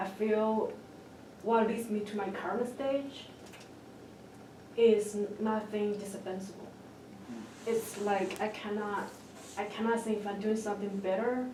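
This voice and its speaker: A woman speaks at a fairly slow pace with long, frequent pauses, her fairly high pitch held in a monotone, flat intonation. Noticeable background noise and audible room echo fill the recording. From China. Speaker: doctoral student panelist. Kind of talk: panel discussion. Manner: halting.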